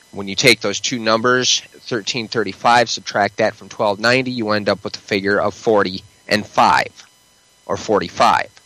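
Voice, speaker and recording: Over noticeable background noise, a man speaks at a fairly low pitch and a fairly slow pace in a flat monotone. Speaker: prophecy podcaster. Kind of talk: casual chat.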